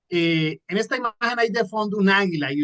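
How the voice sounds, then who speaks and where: With a Colombian coastal accent, a man speaks in an animated tone with ordinary pitch variation, the sound dry and close with no echo. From Colombia, Caribbean coast (Santa Marta) and Manizales. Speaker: entrepreneur and motivational trainer. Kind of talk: online training talk. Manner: fast.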